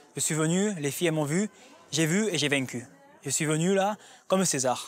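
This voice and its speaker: Dry and close with no echo, a man's fairly high voice moves at a fairly quick pace with ordinary pitch variation. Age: 20s. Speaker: reality TV participant. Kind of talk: casual chat.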